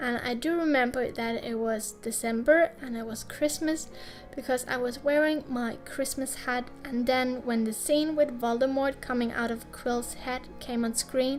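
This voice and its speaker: A speaker with a non-native accent talks at a fairly slow pace with hardly any pauses and fairly even intonation. Music plays in the background. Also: woman, high pitch for a woman. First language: not English. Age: 20s. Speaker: YouTube artist. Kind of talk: casual voice-over while drawing.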